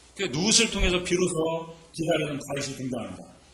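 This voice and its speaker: A man with a fairly high voice and lively intonation talks at a moderate pace, with noticeable background noise and audible room echo. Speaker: pastor. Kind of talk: sermon. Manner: conversational, rhetorical questions.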